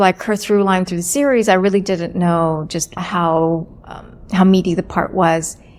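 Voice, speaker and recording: A woman with an American accent and a plain, everyday voice, medium in pitch, at a moderate pace. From US, Virginia Beach. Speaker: actor and director. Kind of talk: interview.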